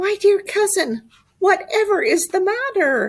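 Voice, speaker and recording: Using a put-on character voice, a woman speaks loud and squeaky at an extremely high pitch, with lively intonation and a fairly slow pace. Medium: read story. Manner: crooning, sly.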